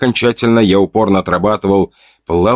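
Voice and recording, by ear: Against a quiet background, someone reads aloud in a natural voice.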